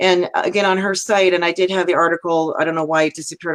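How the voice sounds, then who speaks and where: In an American accent, a woman with a plain, everyday voice talks at a fairly quick pace and a fairly low pitch, the sound dry and close with no echo. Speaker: talk show host. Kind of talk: live interview. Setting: live video stream.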